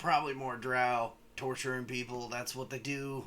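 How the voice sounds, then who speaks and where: A man's put-on character voice, monotone and flat, over light background noise. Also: medium pitch for a man, moderate pace. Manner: matter-of-fact, grim.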